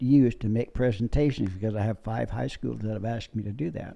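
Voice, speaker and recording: A man talks at a fairly quick pace in a medium pitch. His tone is dark and mellow, with ordinary pitch variation. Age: 90s. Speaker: war veteran. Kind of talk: interview storytelling.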